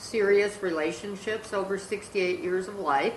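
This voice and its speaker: Audible room echo surrounds the speech, and noticeable background noise can be heard. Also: woman. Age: 60s. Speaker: podcast host, grandmother. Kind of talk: casual family podcast chat.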